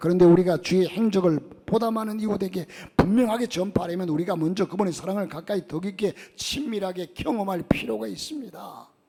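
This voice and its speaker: A man with a high-pitched voice and ordinary pitch variation talks at a fairly quick pace. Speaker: pastor. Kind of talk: sermon. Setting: church.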